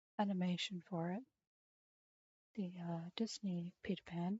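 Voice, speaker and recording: Soft-spoken and medium in pitch, a woman talks at a fairly slow pace. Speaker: streamer. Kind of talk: casual chat. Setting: live stream.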